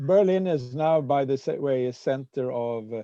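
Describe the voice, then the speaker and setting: A slight Swedish accent at a moderate pace, with a dark, mellow tone and a dry, close sound free of echo. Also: man. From Sweden. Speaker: peace activist and Rotary speaker. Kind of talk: presentation with discussion. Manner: halting, many fillers.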